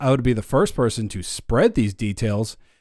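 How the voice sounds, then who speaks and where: On a very clean recording with a silent background, a man of medium pitch talks in a normal speaking voice. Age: 30s. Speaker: podcast host. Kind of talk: casual chat.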